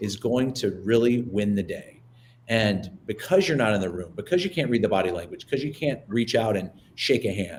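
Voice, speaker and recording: A man speaks at a medium pitch in an animated, somewhat breathy voice with lively intonation. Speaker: presentation trainer. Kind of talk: webinar presentation. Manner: fast.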